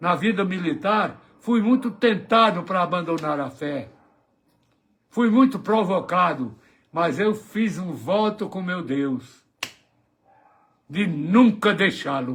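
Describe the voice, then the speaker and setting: At a very slow pace with long, frequent pauses, a man speaks at a high pitch. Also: lively intonation. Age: 80s+. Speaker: elderly preacher. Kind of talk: testimony.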